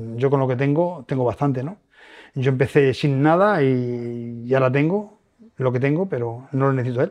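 The man's voice is at a medium pitch with ordinary variation. He talks at a moderate pace. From Spain, Toledo province rural village. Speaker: lottery ticket seller, former bricklayer. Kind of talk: testimony. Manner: halting.

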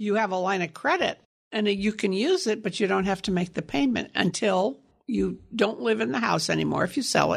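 A woman speaks at a fairly quick pace and medium pitch with lively intonation and vocal fry. Her loudness stays very even. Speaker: reverse mortgage expert. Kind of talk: radio interview.

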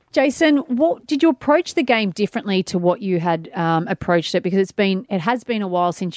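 Speaking at a fairly quick pace with lively intonation in an Australian accent, the voice comes through dry and close with no echo, on a very clean recording with a silent background. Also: woman. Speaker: radio co-host and author. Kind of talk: casual radio banter. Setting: radio studio.

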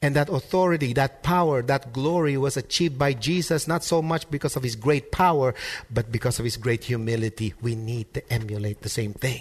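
A man speaks at medium pitch in a somewhat breathy voice with ordinary pitch variation. He barely pauses, and the background is quiet. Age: 30s. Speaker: pastor. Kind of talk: sermon. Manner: repeats words when starting sentences.

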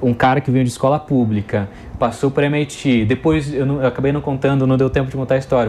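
Against noticeable background noise, a man with a medium pitch speaks at a moderate pace with fairly even intonation. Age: 30s. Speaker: education entrepreneur. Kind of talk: interview. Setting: studio.

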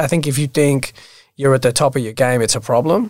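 This man talks at a very fast pace with an Australian accent. His pitch sits fairly high, with ordinary variation. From Australia, Sydney (Bondi). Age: 30s. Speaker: real estate agent. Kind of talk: casual interview.

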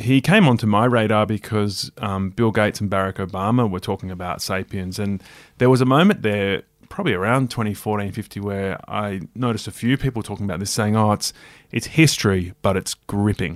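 Recorded very cleanly against a silent background, a man with an Australian accent talks at a fairly quick pace in a fairly low pitch with ordinary pitch variation, the sound dry and close with no echo. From Australia, rural New South Wales. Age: 40s. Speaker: broadcaster and author. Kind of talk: casual interview.

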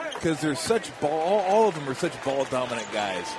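A man with a fairly high pitch speaks at a moderate pace in a relaxed tone, his pitch swinging very widely. Noticeable background noise runs underneath. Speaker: color commentator, game analyst. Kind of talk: live game analysis, conversational commentary. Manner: relaxed, conversational, matter-of-fact.

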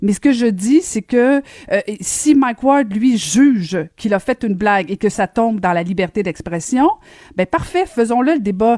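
With a Quebec accent, a woman with a fairly high pitch and a dark, mellow tone speaks at a fairly slow pace with lively intonation. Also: dry, close sound with no echo. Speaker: radio host. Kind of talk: radio talk show. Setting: studio.

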